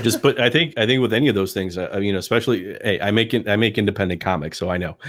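A man talks at a very fast pace with hardly any pauses. His pitch is fairly low, with ordinary variation. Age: 40s. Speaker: comic book creator. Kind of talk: podcast interview.

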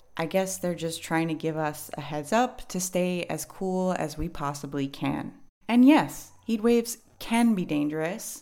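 A woman with a New York accent, fairly low in pitch, with lively intonation, on a very clean recording with a silent background. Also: fairly slow pace. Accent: New York American English. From New York City. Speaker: English teacher podcast host. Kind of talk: educational podcast monologue.

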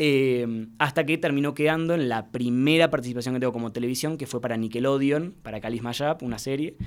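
In a Rioplatense accent, a man speaks at a fairly quick pace with hardly any pauses. His medium pitch has ordinary variation. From Argentina, Mar del Plata. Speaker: youtuber and actor. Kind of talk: casual interview.

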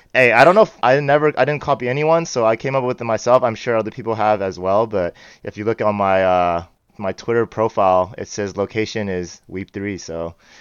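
A man with an American accent and an ordinary speaking voice, fairly low in pitch, with ordinary pitch variation and a fairly quick pace. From US West Coast, San Francisco Bay Area. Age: 30s. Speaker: cybersecurity analyst and Web3 community advisor. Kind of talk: casual interview chat.

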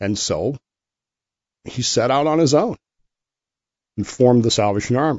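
Speaking at a moderate pace with ordinary pitch variation, a man with a medium-pitched voice leaves long, frequent pauses. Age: 50s. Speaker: podcast host. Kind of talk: solo monologue commentary.

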